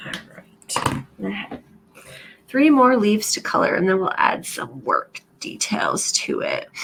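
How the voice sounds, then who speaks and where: A woman speaks quietly at a fairly slow pace over noticeable background noise. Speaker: planner and craft YouTuber. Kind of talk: crafting tutorial. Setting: pre-recorded video at home.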